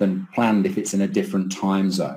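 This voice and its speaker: This man has a fairly low pitch and a dark, mellow tone. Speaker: keynote speaker, professor. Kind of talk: lecture. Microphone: webcam.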